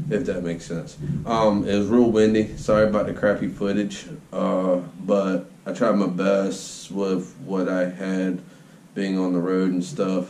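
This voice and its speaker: In a room with audible echo, a man speaks at a fairly slow pace. His very deep, low voice keeps a fairly even intonation. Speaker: channel host. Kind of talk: casual vlog chat. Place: workshop. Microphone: phone near.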